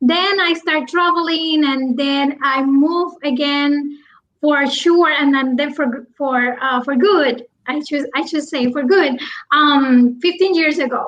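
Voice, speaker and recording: With a Puerto Rican accent, a woman speaks in a high pitch at a fairly slow pace. Her pitch varies in an ordinary way. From Puerto Rico. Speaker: business coach. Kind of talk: interview. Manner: halting, many restarts.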